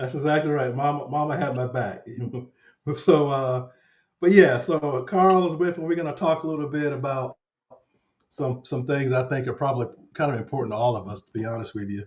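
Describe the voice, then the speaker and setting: The speaker talks at a fairly quick pace, somewhat breathy, with long, frequent pauses. Loudness swings a lot. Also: man, fairly high pitch for a man, ordinary pitch variation. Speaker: finance channel host. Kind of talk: casual interview chat. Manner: halting, repetitive.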